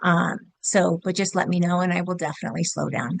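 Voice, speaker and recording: A woman speaks at medium pitch against a quiet background. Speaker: health coach. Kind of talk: group video call talk. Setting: video call. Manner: fast; hesitant, many fillers.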